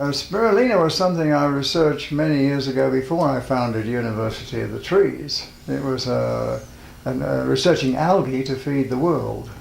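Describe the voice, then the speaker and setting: Audible room echo accompanies a man talking at a moderate pace. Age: 70s. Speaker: spiritual teacher and health food pioneer. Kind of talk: interview.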